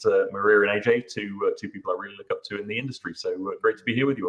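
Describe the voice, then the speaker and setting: Here a man talks at a very fast pace. His accent is British. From UK. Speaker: SEO consultant and tool builder. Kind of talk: panel discussion. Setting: live online webinar.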